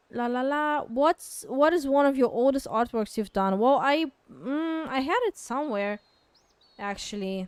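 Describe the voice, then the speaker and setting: With a non-native accent, a woman speaks at a fairly slow pace. Her intonation is lively. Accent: noticeable foreign. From Kazakhstan. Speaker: artist streamer. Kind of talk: casual Q&A livestream. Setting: livestream. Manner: hesitant, many fillers.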